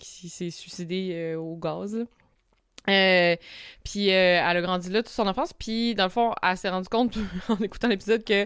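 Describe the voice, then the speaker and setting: A woman in a Quebec accent, medium-pitched with fairly even intonation, at a moderate pace with long, frequent pauses and big swings in loudness, on a very clean recording with a silent background. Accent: Québécois French. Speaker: podcast host. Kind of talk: casual chat. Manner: hesitant, many fillers.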